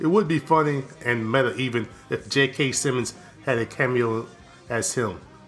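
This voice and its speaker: Music sounds behind a man speaking at a medium pitch. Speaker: film reviewer. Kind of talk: casual review talk to camera.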